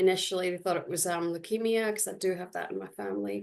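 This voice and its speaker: A woman with a Scottish accent. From Scotland. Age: 40s. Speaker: dialysis patient. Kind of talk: personal testimony on webinar panel. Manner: hesitant, many fillers.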